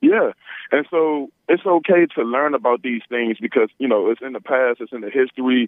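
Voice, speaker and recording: A normal speaking voice with big swings in loudness, ordinary pitch variation, and a moderate pace. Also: man, medium pitch for a man. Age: 20s. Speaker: caller. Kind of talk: call-in conversation. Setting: phone call.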